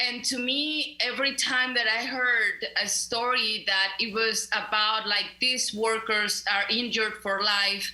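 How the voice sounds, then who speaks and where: The speaker has a Mexican accent and a fairly slow pace, with fairly even intonation. Noticeable background noise and audible room echo fill the recording. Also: woman, fairly high pitch for a woman, very even loudness. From Mexico (León, Guanajuato). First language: Spanish. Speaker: community center director, labor activist. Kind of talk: radio interview.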